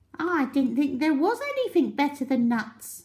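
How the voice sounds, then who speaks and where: A woman puts on a character voice with a high pitch. She speaks at a moderate pace. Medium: read story. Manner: friendly, excitable.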